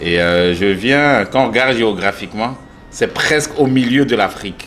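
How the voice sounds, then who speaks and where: Noticeable background noise runs behind this man. He talks at a fairly slow pace with lively intonation. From eastern DR Congo (Bukavu). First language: Swahili (speaking French). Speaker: art gallery owner. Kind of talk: interview. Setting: in his art gallery. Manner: hesitant, many fillers.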